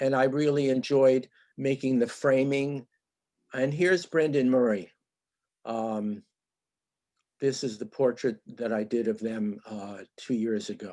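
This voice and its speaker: Fairly slow, dark and mellow speech from a man at medium pitch, with long, frequent pauses, on a very clean recording with a silent background. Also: ordinary pitch variation. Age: 70s. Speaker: artist. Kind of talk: presentation of own work. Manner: halting, many fillers.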